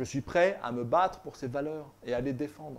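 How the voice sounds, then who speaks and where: Ordinary pitch variation marks a man's speech at a fairly slow pace. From France. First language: northern European language (speaking French). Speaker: political commentator, author. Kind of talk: political monologue. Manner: halting, with repetitions.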